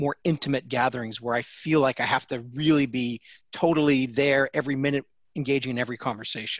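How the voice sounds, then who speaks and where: A man's plain, everyday voice, fairly high in pitch, at a moderate pace, dry and close with no echo against a quiet background. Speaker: innovation expert and speaker. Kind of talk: casual interview.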